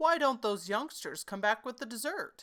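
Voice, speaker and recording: A woman does a put-on character voice at a high pitch and a moderate pace. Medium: read story. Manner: refined, slightly pompous.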